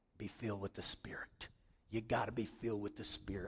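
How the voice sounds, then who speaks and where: A man whispers in a put-on character voice. He talks at a very fast pace. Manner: bold, exhorting.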